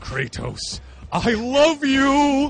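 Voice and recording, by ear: Against clear background noise, a high, female-sounding voice performs a put-on character voice.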